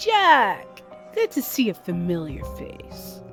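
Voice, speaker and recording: Someone speaks very slowly in a put-on character voice, with clear music in the background. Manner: warm, welcoming.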